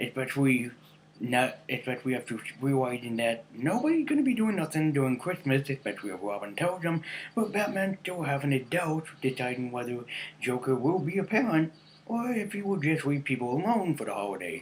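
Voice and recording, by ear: The pitch swings widely as the words come at a fairly quick pace. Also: man, medium pitch for a man.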